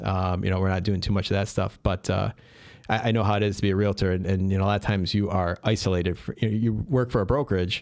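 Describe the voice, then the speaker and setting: With a Chicago accent, a man talks very fast at a fairly low pitch, his intonation fairly even and his loudness very even. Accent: Chicago-area American. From Chicago western suburbs (Addison). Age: 40s. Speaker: real estate investor and property manager. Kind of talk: casual interview. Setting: studio.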